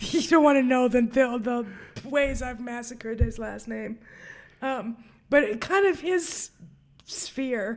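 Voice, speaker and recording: In a very clean recording with a silent background, a woman with an American accent speaks at a high pitch and a very slow pace, her loudness swinging widely and her speech broken by long, frequent pauses. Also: ordinary pitch variation. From New York. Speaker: film podcast host. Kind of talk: casual chat.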